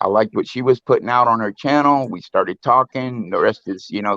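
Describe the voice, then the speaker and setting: With a slight Southern US accent, a man speaks at a fairly quick pace in a medium pitch. The sound is dry and close, with no echo. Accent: slight Southern twang, fairly proper. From US South, Louisiana. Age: 50s. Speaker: live stream guest, musician. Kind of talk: casual chat. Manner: halting, repeats words.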